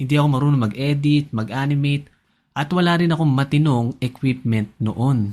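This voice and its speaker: The man's fairly high voice varies its pitch in an ordinary way as he talks at a moderate tempo. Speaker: personal finance YouTuber. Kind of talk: scripted narration.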